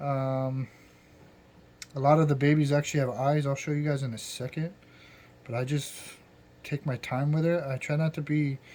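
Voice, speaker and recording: Speaking at a moderate pace, a man with a fairly high pitch has a dark, mellow tone that is somewhat breathy. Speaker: hobbyist aquarium keeper. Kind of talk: casual tutorial. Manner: halting, filler-heavy.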